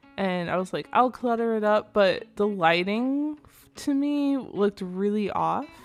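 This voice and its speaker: With music in the background, a woman at medium pitch talks at a fairly slow pace with lively intonation. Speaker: gaming video creator. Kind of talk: casual game commentary voiceover.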